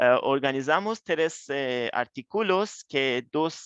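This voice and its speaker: Speaking at a very slow pace with a non-native accent, a man is recorded against a quiet background with a dry, close sound and no echo. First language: not Spanish (speaking Spanish). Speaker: researcher. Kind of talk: lecture. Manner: halting.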